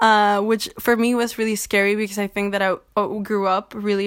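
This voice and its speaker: On a very clean recording with a silent background, a woman uses a plain, everyday voice at a medium pitch and a moderate pace. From Mexico, also raised in Chile and the US. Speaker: feminist activist and writer. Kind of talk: casual interview.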